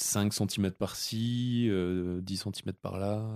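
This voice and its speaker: Over a silent background on a very clean recording, a man speaks at a very slow pace with fairly even intonation. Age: 30s. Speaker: podcast host, seasonal ski resort worker. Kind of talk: casual chat.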